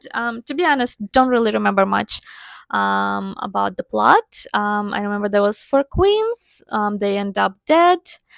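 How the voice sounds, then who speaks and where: A woman with a non-native accent speaks at a fairly slow pace. The sound is dry and close with no echo. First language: not English. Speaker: book reviewer. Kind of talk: casual chat. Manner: hesitant, many fillers.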